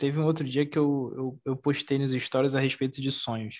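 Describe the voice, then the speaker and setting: A fairly high-pitched man's voice with monotone, flat intonation. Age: 20s. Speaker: podcast host and mentor. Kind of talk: casual chat.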